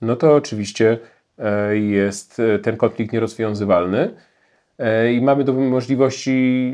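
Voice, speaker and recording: This man's pitch moves with ordinary variation. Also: quiet background. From Poland. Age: 40s. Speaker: historian and journalist; journalist. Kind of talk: Q&A interview answers. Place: home room. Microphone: lapel.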